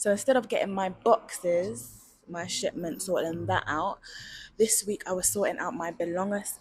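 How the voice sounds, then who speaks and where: A woman is speaking. She has a London accent. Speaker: vlogger. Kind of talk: casual vlog monologue. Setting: outdoors at night. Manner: casual, chatty.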